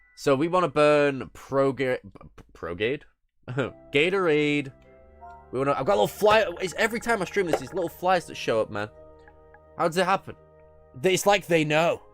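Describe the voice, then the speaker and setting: Music plays in the background as a man speaks at a fairly high pitch and a moderate pace. His intonation is lively, and he leaves long, frequent pauses. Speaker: streamer. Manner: casual, thinking aloud.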